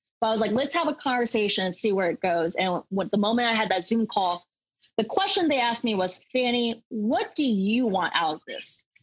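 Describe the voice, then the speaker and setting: In an ordinary speaking voice with an American accent, a woman talks at a fairly quick pace and fairly high pitch, her intonation lively and her loudness very even. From Kansas, US. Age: 20s. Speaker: local political candidate. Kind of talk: interview.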